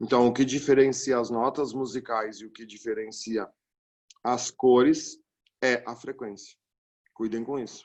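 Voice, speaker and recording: A man speaks at a medium pitch with a flat, monotone delivery. His pace is fairly slow, with long, frequent pauses and big swings in loudness. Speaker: physics teacher. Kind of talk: lecture.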